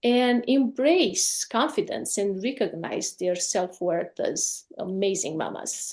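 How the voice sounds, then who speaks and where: Against a quiet background, a woman speaks at a very slow pace in a medium pitch. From Romania. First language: Romanian. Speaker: life coach. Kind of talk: podcast interview.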